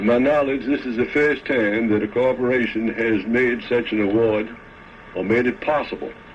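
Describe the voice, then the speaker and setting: Speaking at a moderate pace and medium pitch, a man has an ordinary speaking voice. His pitch variation is ordinary. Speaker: fire official speaking about reward. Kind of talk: interview answer.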